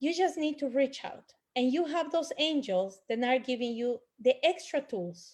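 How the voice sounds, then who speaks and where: At a fairly slow pace, a woman with a Spanish accent speaks with very wide pitch swings. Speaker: angel healer. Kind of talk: panel discussion.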